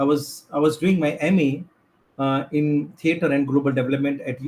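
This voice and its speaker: Speaking at a moderate pace with a non-native accent, a man uses a fairly high pitch, ordinary pitch variation and a somewhat breathy voice. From India, Gujarat (Chhara tribe, Ahmedabad). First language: Bhantu. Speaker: filmmaker and activist. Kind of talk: conference talk. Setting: video call. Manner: halting, many fillers.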